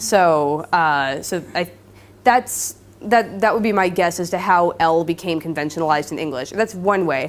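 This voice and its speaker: Pitch varies in an ordinary way at a moderate pace. Behind the voice the background is silent, and the recording is very clean. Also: woman. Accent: Californian. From Southern California. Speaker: linguistics PhD student. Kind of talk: lecture with Q&A. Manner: hesitant, many fillers.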